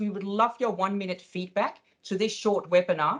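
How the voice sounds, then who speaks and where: A woman with a Danish accent speaks at medium pitch. Her intonation stays fairly even. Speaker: webinar host. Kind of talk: webinar wrap-up.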